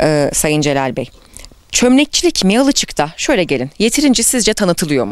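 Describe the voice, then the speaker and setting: Speaking at a moderate pace, a woman with a medium pitch sounds animated, her voice making very wide pitch swings. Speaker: reporter. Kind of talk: interview. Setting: outdoors.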